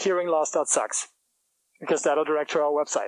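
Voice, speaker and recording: With a German accent, a man talks in a fairly high voice, his intonation fairly even. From Germany. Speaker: startup founder. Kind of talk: business pitch presentation.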